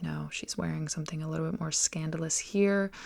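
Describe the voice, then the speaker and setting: A soft-spoken woman on a very clean recording with a silent background. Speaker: artist. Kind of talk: sketchbook tour voiceover.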